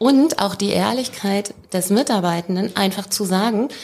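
Noticeable background noise runs under the clip. A woman speaks at a medium pitch. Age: 40s. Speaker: leadership expert. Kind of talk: casual interview.

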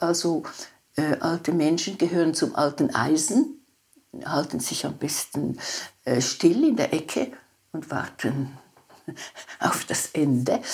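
Lively intonation at a very slow pace, on a very clean recording with a silent background. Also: woman. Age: 90s. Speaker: psychotherapist and author. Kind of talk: interview conversation.

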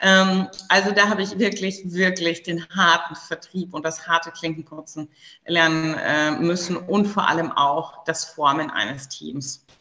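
A woman's fairly low-pitched voice at a fairly slow pace, with ordinary pitch variation and noticeable background noise. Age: 30s. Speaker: entrepreneur. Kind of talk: interview. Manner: hesitant with fillers.

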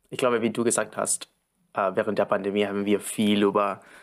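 A man with a Spanish accent, fairly low pitch, fairly even intonation and a fairly quick pace. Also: very clean recording, silent background. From Argentina. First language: Spanish (speaking German). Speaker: supply chain planner. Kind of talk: interview. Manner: halting.

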